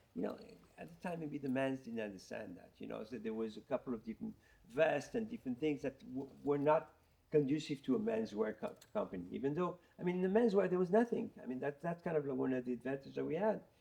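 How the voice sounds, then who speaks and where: The speech comes at a very fast pace with big swings in loudness. The tone is dark and mellow, and the pitch swings very widely. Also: man, fairly high pitch for a man. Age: 60s. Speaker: fashion designer. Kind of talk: interview. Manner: halting, repeats words.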